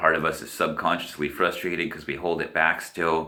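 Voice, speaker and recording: Speaking at a moderate pace, a man with a very deep, low pitch holds a monotone, flat intonation amid audible room echo. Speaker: spiritual vlogger. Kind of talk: casual monologue. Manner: halting.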